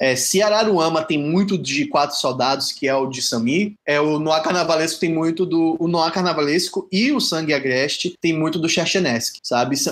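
A man has a normal speaking voice, fairly high-pitched for a man, with ordinary pitch variation. He keeps a moderate pace with very even loudness and hardly any pauses. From Salvador, Bahia, Brazil. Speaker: writer and playwright. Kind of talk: interview.

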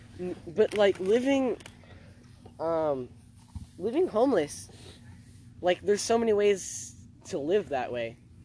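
The speaker talks with a Californian accent, leaving long, frequent pauses. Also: fairly slow pace. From Los Angeles, California (Venice). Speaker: podcast co-host. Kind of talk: casual chat. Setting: outdoors. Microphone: laptop mic.

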